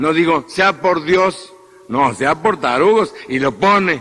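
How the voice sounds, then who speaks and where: Over noticeable background noise, a man speaks at a very slow pace. His pitch is high, with ordinary variation. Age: 50s. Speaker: priest. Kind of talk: sermon. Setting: church.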